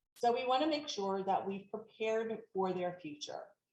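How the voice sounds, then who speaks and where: Audible room echo surrounds a woman whose fairly high pitch has a dark, mellow tone and ordinary pitch variation. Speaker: elder law attorney. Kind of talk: webinar presentation. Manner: fast.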